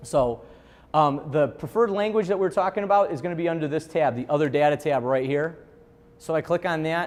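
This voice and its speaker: A man speaks with a Chicago accent. His pitch is fairly high for a man, and his pace is fairly quick. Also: ordinary pitch variation. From Chicago, US Midwest. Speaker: software trainer. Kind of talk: software training seminar. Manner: casual, conversational with fillers.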